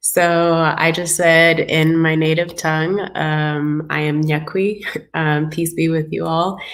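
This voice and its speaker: A woman speaks very slowly in a fairly low pitch. Her intonation is monotone and flat, with audible room echo. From US, South Sudanese family. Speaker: co-author of an anthology. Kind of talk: casual introduction on a group video call. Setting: livestreamed video call. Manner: halting, many fillers.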